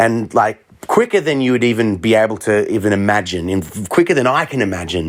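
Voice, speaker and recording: A man talks in an Australian accent at a moderate pace. His tone is animated, with lively intonation. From Australia, Melbourne. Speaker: street looping musician. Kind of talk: interview.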